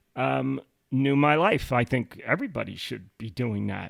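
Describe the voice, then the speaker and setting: Lively intonation marks a man's medium-pitched voice as he talks at a moderate pace. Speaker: podcast co-host and author. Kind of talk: casual chat. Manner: loud.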